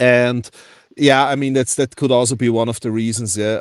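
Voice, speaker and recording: Flat and monotone in intonation, a man speaks at a medium pitch in a dry, close sound with no echo. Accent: German. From Austria. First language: German. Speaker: precious metals collector. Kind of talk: casual chat.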